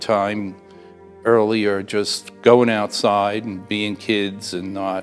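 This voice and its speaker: A man at a very slow pace and fairly low pitch with fairly even intonation, music playing in the background. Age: 70s. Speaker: war veteran; college instructional support technician. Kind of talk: oral history interview answer.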